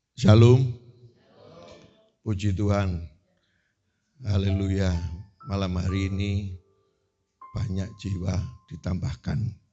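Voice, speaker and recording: Music plays in the background as a man speaks at a very slow pace with long, frequent pauses. His pitch is fairly low and his intonation fairly even. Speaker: preacher. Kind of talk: sermon. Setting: church.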